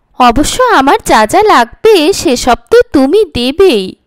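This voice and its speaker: A woman's high-pitched, put-on character voice, with very wide pitch swings, a fairly slow pace and a dry, close sound with no echo. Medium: read story. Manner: dreamy, distant, as if half asleep.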